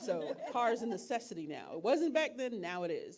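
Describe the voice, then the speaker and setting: A woman speaks at a moderate pace with an animated tone. Her pitch swings very widely. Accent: American. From New York. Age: 50s. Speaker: financial workshop speaker. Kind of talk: workshop talk.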